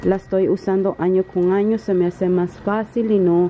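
A woman at a medium pitch and a moderate pace, over noticeable background noise. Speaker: vlogger. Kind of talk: casual vlog. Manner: halting, many fillers.

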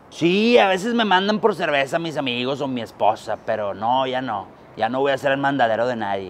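A man's pitch swings very widely as he speaks at a moderate pace. There is light background noise. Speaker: comedian playing a politician. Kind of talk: comedic interview answer. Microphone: lapel.

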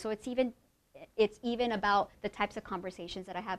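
Her pitch varies in an ordinary way as a woman speaks at a fairly quick pace. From Oregon, US (born in Mexico). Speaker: professor. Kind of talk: lecture. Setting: stage with audience. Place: hall.

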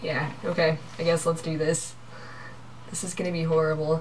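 A woman's fairly low voice with fairly even intonation, at a moderate pace over light background noise. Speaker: vlogger. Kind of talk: casual game play with friends. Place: home room. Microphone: webcam.

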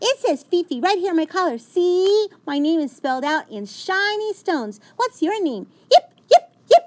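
A female-sounding, put-on character voice, extremely high for a woman, at a moderate pace. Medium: read story. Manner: chatty, excited.

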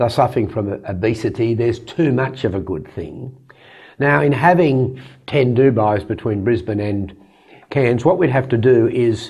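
The voice is somewhat breathy against a quiet background. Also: man, moderate pace. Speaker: interview guest. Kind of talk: interview answer. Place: studio. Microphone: lapel.

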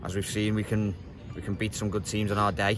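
The sound is dry, with no echo. A man speaks over loud background noise. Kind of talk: interview answer. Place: stadium.

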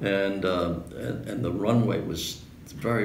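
In a New York accent, the speaker uses ordinary pitch variation, with audible room echo and light background noise. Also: man. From New York City. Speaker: World War II veteran fighter pilot. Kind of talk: interview answer. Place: home room. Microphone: camera far.

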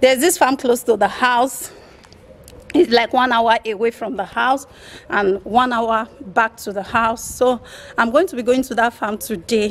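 A woman's speech keeps a moderate pace, and her pitch shifts in an ordinary way. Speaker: vlogger. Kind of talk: casual vlog chat. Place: street. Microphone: phone near.

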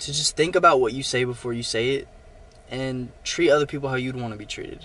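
A man's bright, sharp tone in a dry sound with no echo. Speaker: vlogger. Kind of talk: casual vlog chat. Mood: earnest, reflective. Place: car. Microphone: phone near.

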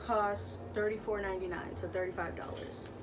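At a moderate pace, a woman speaks with music playing in the background. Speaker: haul vlogger. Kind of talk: casual vlog chat. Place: home room. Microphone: camera far.

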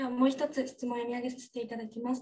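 The voice belongs to a woman. Her pitch is high. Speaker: student moderator. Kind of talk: webinar moderation. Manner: formal. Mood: polite, formal. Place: office. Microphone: studio mic.

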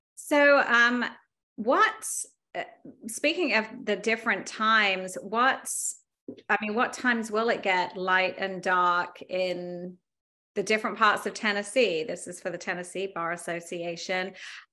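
A fairly slow woman's voice in an English accent, medium in pitch with ordinary pitch variation and a bright, sharp tone. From England. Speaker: attorney and yoga instructor moderating a discussion; attorney, yoga instructor moderating a discussion. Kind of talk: interview moderation. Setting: video call. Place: home room. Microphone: video call.

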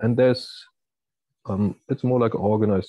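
A man is speaking. The sound is dry with no echo and the background is quiet. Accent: strong German. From Germany. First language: German. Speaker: university researcher. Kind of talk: lecture. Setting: video call. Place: home room. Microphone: earbuds.

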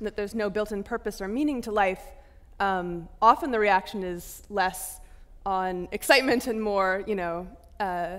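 Her pitch shows ordinary variation. The woman keeps a moderate pace. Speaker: moderator. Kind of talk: interview question. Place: stage. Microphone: headset.

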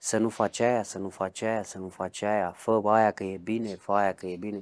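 This is a man talking. His pace is fairly slow. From Romania, Brașov; Romania. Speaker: ex-convict; interviewee. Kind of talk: interview testimony; interview answer. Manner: halting. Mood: reflective storytelling about childhood. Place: home room. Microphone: lapel.

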